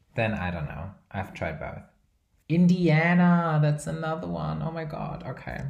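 A somewhat breathy man at a moderate pace, with audible room echo. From Brazil. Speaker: podcast host. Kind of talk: casual chat. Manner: rambling, filler words.

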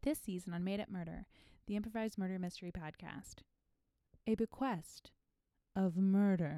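At a moderate pace, a woman with a dark, mellow tone and medium pitch talks with ordinary pitch variation and long, frequent pauses. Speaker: producer and narrator. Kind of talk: scripted intro and improvised narration.

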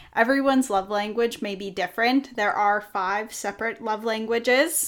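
Using a normal speaking voice, a woman talks fairly slowly with ordinary pitch variation. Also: very clean recording, silent background. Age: 20s. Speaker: podcast co-host, clerical support worker. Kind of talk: casual chat.

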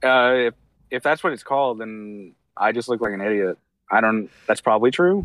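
A man has an ordinary speaking voice at a medium pitch, with ordinary pitch variation. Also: moderate pace. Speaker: podcast guest. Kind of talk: casual comedic chat. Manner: bantering, playful.

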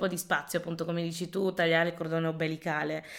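A woman is speaking. Her pitch is fairly low. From Italy. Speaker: podcast host. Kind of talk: conversational interview.

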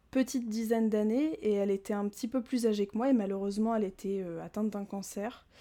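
Her voice has a dark, mellow tone and sits at a fairly high pitch for a woman. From Normandy, France. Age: 20s. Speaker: former teacher and cinema podcaster. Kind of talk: casual interview. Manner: halting.

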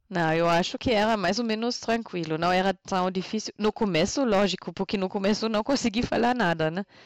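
In a dry, close recording with no echo and a quiet background, a woman with a German accent speaks at a moderate pace and medium pitch, her pitch varying an ordinary amount. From northern Germany, Münsterland. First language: German (speaking Portuguese). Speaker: podcast guest. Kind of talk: casual chat. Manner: halting.

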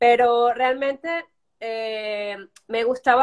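This is a woman's voice. The pitch moves in an ordinary way. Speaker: journalist and social media specialist. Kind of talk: casual interview.

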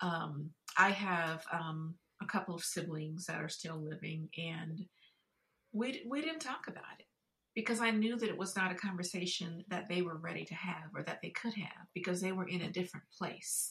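A woman's fairly low, fairly bright voice with a slightly husky edge, ordinary pitch variation and a moderate pace

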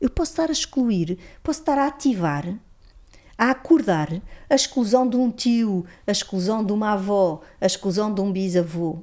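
In a very clean recording with a silent background, a woman speaks at a moderate pace with a medium pitch, a dark, mellow tone and very wide pitch swings. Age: 50s. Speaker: psychologist and systemic consciousness facilitator. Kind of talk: interview, explanatory teaching.

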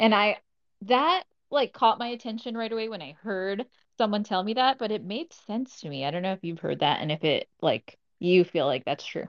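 Her pitch swings very widely. The woman's voice sits fairly high. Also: moderate pace. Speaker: co-host leading discussion. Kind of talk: casual discussion. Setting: Twitter Spaces live audio room.

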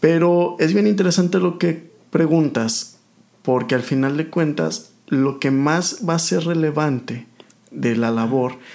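A normal speaking voice from a man, fairly high in pitch, with ordinary pitch variation, very even loudness and a fairly slow pace. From Mexico, rural Aguascalientes. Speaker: oncologist. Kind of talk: casual interview chat.

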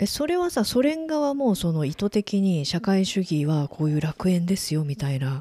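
With noticeable background noise, the speech moves at a moderate pace with hardly any pauses. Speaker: podcast interviewer. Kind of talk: casual chat.

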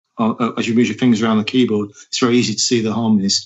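Here a man talks at a medium pitch. He has an East Midlands accent. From English Midlands, Nottingham. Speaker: rock band singer. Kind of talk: interview conversation. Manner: hesitant, many fillers and repetitions.

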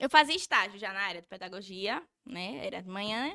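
A woman with a strong Sergipe accent speaks at a moderate pace in a bright, sharp tone. The recording is dry and close, with no echo. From Brazil, Sergipe (Nossa Senhora do Socorro, near Aracaju). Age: 20s. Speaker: social media influencer. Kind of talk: casual chat. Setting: studio.

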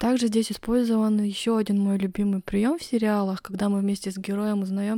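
A woman talks at a fairly quick pace. Her pitch is medium. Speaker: podcast host. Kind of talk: solo review monologue. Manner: monotone.

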